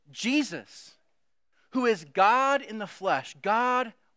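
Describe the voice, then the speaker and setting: A man's high, raised and projected voice, bright and sharp in tone, on a very clean recording with a silent background. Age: 40s. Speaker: lay preacher. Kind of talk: sermon. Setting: church service in a school.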